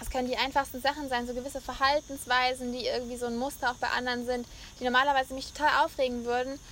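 Over noticeable background noise, a woman speaks very fast in a high, monotone voice with flat intonation. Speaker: podcast host. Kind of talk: casual chat. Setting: on location in Mallorca.

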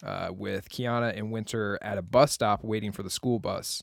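A man with a fairly low pitch talks in a plain, everyday voice at a moderate pace. The sound is dry and close with no echo. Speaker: podcast co-host. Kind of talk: casual chat. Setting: home basement.

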